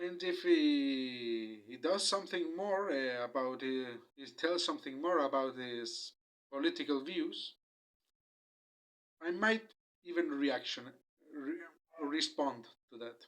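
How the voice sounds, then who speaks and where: A man with a Spanish accent and fairly high pitch, very slow pace, long and frequent pauses, ordinary pitch variation, and big swings in loudness. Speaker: YouTuber. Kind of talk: video commentary. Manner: halting, many fillers.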